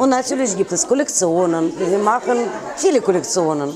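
A woman speaks with a Russian accent at a moderate pace, her pitch swinging very widely. Crowd noise fills the background. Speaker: fashion designer. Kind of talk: interview. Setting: in her store. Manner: animated. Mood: warm, enthusiastic. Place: shop.

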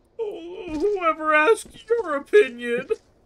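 Extremely high pitch and a fairly slow pace in a put-on character voice. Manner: mocking, dismissive.

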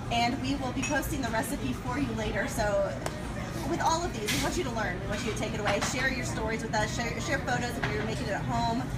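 Loud background noise runs behind a woman speaking at a very fast pace. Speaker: social media presenter. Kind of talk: live-stream hosting. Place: bar.

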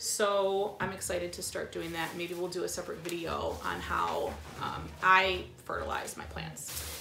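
Noticeable background noise accompanies a woman talking at moderate speed. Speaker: plant vlogger. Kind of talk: casual haul vlog chat. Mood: cheerful, excited. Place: home room. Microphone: camera far.

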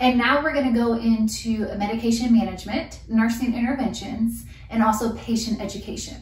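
A woman talks at a moderate pace, with room echo clearly audible around her. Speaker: nurse educator. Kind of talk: lecture. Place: home room. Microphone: camera far.

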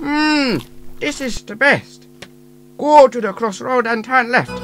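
A man's put-on character voice, extremely high in pitch, at a fairly slow pace over clear music in the background. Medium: audio drama.

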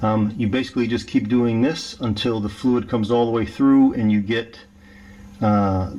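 A man speaks at a moderate pace. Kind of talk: tutorial. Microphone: phone near.

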